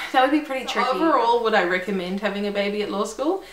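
A woman with a New Zealand accent speaks with fairly high pitch and lively intonation amid audible room echo. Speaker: lawyer. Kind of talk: casual talk to camera. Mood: friendly, upbeat. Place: home room.

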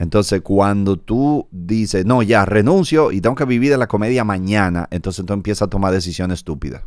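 A man with a Dominican accent talks at a fairly quick pace with hardly any pauses, his fairly low voice showing ordinary pitch variation, in a dry recording with no echo and a quiet background. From Dominican Republic. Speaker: comedian and podcast host; comedian, podcast host. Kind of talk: casual interview chat. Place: studio. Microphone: studio mic.

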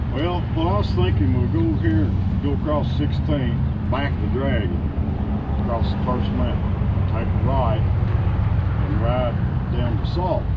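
The speech comes at a fairly slow pace with long, frequent pauses over loud background noise. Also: man. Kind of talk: group announcement. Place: street. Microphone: camera far.

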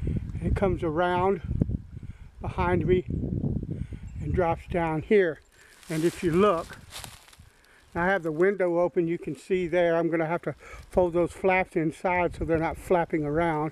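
The speech is fairly slow, with long, frequent pauses. The sound is dry with no echo, over light background noise. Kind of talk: casual vlog chat. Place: forest. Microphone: phone near.

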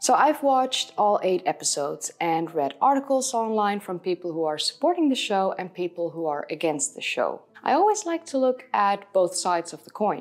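A woman talks at a moderate pace, her pitch swinging very widely and her loudness rising and falling a lot. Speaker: history video host. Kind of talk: commentary to camera. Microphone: lapel.

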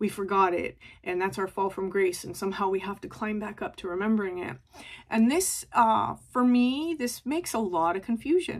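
Quiet surroundings behind a woman's voice. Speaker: tarot reader. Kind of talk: spiritual reading talk. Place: home room. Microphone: phone near.

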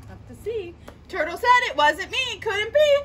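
A woman's raised, projected voice with very wide pitch swings, over light background noise. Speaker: children's story reader. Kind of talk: read-aloud storytime for children. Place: garden. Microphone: phone near.

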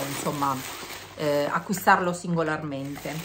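A woman's very deep, low voice at a fairly slow pace, with noticeable background noise. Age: 50s. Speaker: beauty vlogger. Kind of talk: casual vlog monologue.

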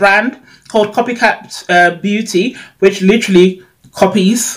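A woman speaks at a slow pace. Her pitch is medium.

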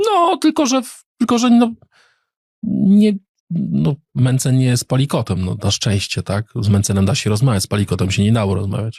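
A man talks at a moderate pace in a dry, close recording with no echo. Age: 40s. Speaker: politician. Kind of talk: casual interview.

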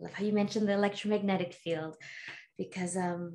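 Against a quiet background, the speaker sounds somewhat breathy with a dark, mellow tone. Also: woman. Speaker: podcast host and healer. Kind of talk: casual interview chat. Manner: animated. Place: home room.

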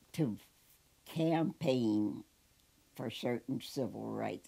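The pace here is very slow. It belongs to a woman speaking in an American accent. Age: 80s+. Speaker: war veteran; school psychologist. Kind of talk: interview answer. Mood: warm, often smiling. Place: home room. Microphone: lapel.

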